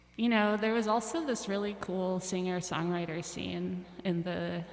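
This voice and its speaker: Against noticeable background noise, a woman with a fairly low pitch speaks at a moderate pace with fairly even intonation. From Russia, moved to US at age ten. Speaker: musician. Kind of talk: casual chat.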